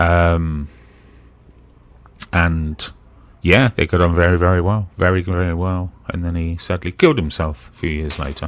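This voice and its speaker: The speaker has a slight Brummie accent and fairly even intonation. Long pauses come often. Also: man, very deep, low pitch for a man, moderate pace. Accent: slight Brummy. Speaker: live stream participant. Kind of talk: casual chat.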